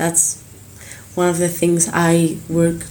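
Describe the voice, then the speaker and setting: A woman speaks very slowly in an Argentine accent at a fairly low pitch. Audible room echo and noticeable background noise surround her voice. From Argentina, Buenos Aires. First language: Spanish. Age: 20s. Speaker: singer. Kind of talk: casual interview. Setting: hotel room. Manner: halting; passionate.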